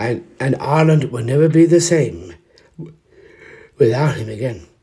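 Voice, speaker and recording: Lively intonation and vocal fry run through this man's dark, mellow tone. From Ireland. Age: 40s. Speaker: actor. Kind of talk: spoken history piece to camera. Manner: emotional, hesitant.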